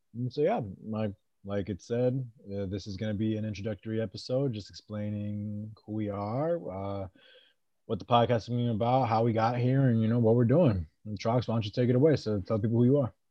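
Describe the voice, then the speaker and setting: Using an ordinary speaking voice, a man with an American accent talks at a medium pitch with ordinary pitch variation. His pace is fairly quick. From New England and Maryland, US. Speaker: podcast host, navy sailor. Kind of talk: casual chat.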